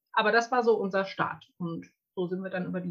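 A woman speaks at medium pitch with fairly even intonation. Her tone is bright and sharp. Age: 30s. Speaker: women's circle facilitator. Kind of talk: interview. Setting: video call.

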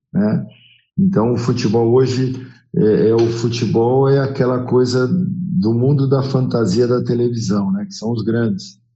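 A man speaks at a medium pitch and a fairly slow pace, with lively intonation. Music plays in the background, and room echo is audible. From São Paulo city, Brazil. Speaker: former football goalkeeper and coach. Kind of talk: podcast interview.

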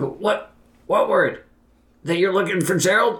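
A man puts on a raspy character voice. He talks at a fairly slow pace. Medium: actual play. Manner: nervous, eager to please.

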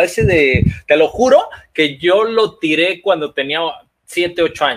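In a Mexican accent, a man speaks with lively intonation at a high pitch. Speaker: archery podcast co-host. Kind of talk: casual chat.

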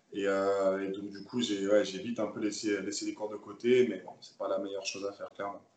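A man's fairly low-pitched, monotone, flat delivery at a fairly quick pace, with hardly any pauses and big swings in loudness. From Paris suburbs, France (Seine-Saint-Denis). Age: 20s. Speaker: professional handball player. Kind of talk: interview. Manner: halting, frequent repetitions.

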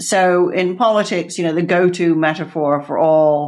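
A woman speaks with an American accent and fairly even intonation. The background is quiet. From Texas, then Netherlands and UK. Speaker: author and former CEO. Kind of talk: interview.

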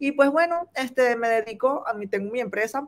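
This woman talks at a moderate pace, her intonation lively. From Venezuela. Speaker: importing business owner. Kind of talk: live-stream interview.

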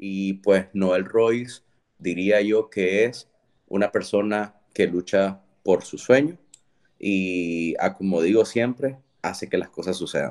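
This man speaks very slowly at a fairly low pitch. His pitch varies in an ordinary way. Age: 30s. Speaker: entrepreneur. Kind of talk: interview. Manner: halting, frequent repetitions.

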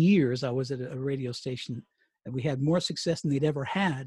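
Speaking at a fairly quick pace in a General American accent, a man sounds somewhat breathy, with a dry, close sound and no echo. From Colorado. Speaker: retired radio DJ and author. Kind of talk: interview. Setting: remote call. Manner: halting.

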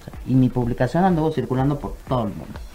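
A woman's animated voice in a Mexican accent, with music in the background. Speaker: psychologist and sexologist. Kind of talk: radio interview.

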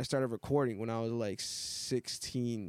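With an American accent and an unremarkable speaking voice, a man talks at a medium pitch and with fairly even intonation. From Massachusetts North Shore (born Miami, Hialeah). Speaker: rapper. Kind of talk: casual chat.

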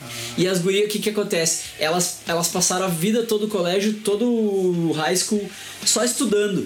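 Music plays in the background as a man with a high pitch speaks at very even loudness, with audible room echo. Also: ordinary pitch variation, moderate pace. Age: 40s. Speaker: podcast host. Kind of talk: casual chat.

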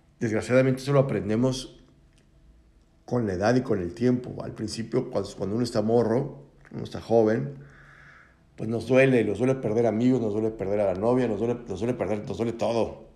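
Recorded with audible room echo, a man speaks at a medium pitch and a moderate pace, his tone dark and mellow and his intonation fairly even. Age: 40s. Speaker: podcast host. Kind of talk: reflective monologue. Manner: casual, conversational.

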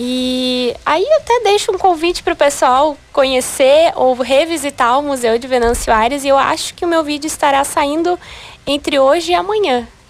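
Over noticeable background noise, a woman talks at a moderate pace in a high voice with lively intonation. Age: 20s. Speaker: beauty pageant candidate. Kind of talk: radio interview.

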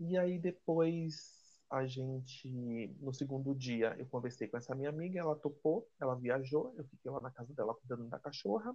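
Somewhat breathy, a man with a fairly high pitch speaks with ordinary pitch variation. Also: moderate pace. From Brazil, Salvador (Bahia). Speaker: guest friend. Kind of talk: casual chat.

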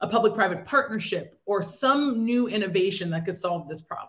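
A woman with an American accent talks in a normal speaking voice at a fairly high pitch, with ordinary pitch variation and a moderate pace. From upstate New York. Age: 30s. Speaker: entrepreneur. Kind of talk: interview.

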